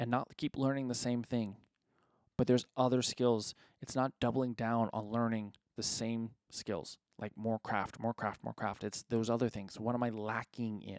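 A man at a medium pitch and moderate pace, monotone, flat intonation, in a dry, close sound with no echo on a very clean recording, silent background. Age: 30s. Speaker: podcast host, filmmaker and entrepreneur. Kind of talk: motivational solo monologue.

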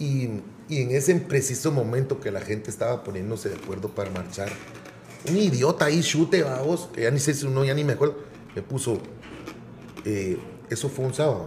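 A man with a Guatemalan accent talks fairly quickly at medium pitch with lively intonation. He takes long, frequent pauses over noticeable background noise. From Guatemala City. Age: 40s. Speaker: musician. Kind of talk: casual interview.

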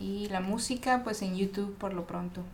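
Through audible room echo and noticeable background noise, a woman speaks at a medium pitch with ordinary pitch variation. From Ensenada, Baja California, Mexico. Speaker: rapper. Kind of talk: casual chat.

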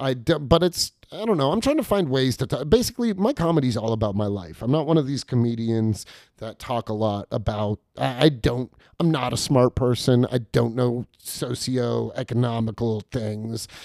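In an American accent, a man speaks at a moderate pace and medium pitch, his tone dark and mellow, with a dry, close sound and no echo. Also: ordinary pitch variation. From California. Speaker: stand-up comedian. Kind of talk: casual interview chat. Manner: halting, many fillers and restarts.

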